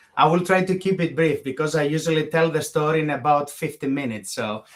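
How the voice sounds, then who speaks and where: A man with a Greek accent and a fairly high pitch. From Greece, Thessaloniki. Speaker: bioethicist. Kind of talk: interview conversation.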